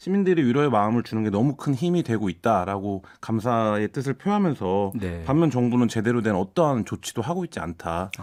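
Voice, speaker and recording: A man speaks fairly quickly at a medium pitch, his voice making very wide pitch swings. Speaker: newspaper reporter. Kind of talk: radio current affairs discussion. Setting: studio.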